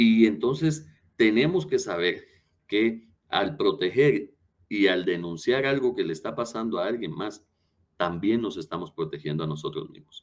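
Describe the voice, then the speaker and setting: The voice moves at a fairly slow pace, its pitch swinging very widely and its loudness rising and falling sharply. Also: man, medium pitch for a man. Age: 30s. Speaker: lawyer and former prosecutor. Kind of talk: interview.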